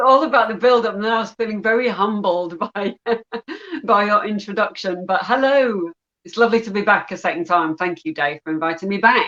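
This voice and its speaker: At a fairly quick pace, a woman with an English accent and a medium pitch speaks with ordinary pitch variation and big swings in loudness. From northern England, Yorkshire. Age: young. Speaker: affiliate marketer, YouTuber. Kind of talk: interview. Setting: calling in to live show.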